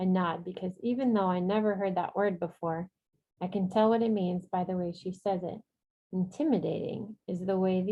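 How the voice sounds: In a natural reading voice, the speaker keeps a fairly even intonation over a quiet background.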